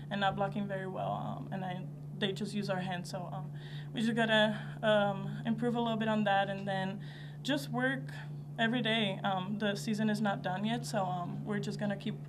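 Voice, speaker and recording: Moderate-paced speech from a woman, with noticeable background noise. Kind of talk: interview answer. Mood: happy after title win. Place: hall. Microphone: podium.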